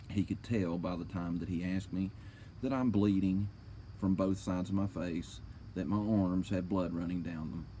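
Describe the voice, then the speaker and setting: With an American accent, a man speaks in a very deep, low pitch and a dark, mellow tone, at a moderate pace with fairly even intonation. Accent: own accent, mistaken for slurred speech. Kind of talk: reading aloud a police report with commentary. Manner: casual, swearing, indignant.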